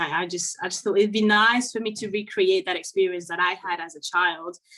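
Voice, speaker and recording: A woman with a French accent speaks at a medium pitch with a bright, sharp tone. Her pace is moderate and her pitch variation ordinary. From Côte d'Ivoire and France. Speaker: children's author and French teacher. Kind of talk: interview. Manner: hesitant, with fillers and repetitions.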